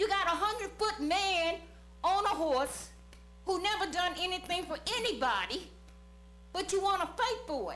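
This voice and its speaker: A woman speaks in an extremely high pitch with an animated, bright, sharp tone at a moderate pace. She leaves long, frequent pauses, and the room echo is audible. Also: ordinary pitch variation. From Charlottesville, Virginia (US South). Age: 70s. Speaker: public commenter at council meeting. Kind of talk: public comment speech. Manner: animated, emphatic.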